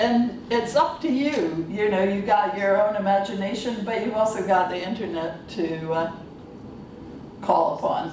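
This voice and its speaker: A woman's fairly slow speech at a medium pitch with lively intonation, amid noticeable background noise and audible room echo. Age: 60s. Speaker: workshop presenter, computing academic. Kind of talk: workshop presentation. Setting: conference workshop with audience. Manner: halting, with many fillers.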